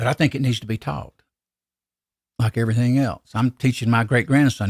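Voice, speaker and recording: On a very clean recording with a silent background and a dry, close sound with no echo, a man with a Southern US accent talks at a medium pitch with ordinary pitch variation. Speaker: gun reloading podcaster. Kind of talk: casual live podcast chat. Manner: halting, repeats words.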